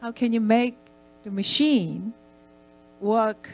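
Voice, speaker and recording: At a fairly slow pace, a woman talks at medium pitch. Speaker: art center director. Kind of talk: conference talk. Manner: halting, many fillers.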